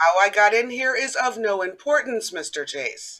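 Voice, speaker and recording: In a put-on character voice, raspy and fairly high-pitched, the speaker goes at a moderate pace. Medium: stage play. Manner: suave, mocking.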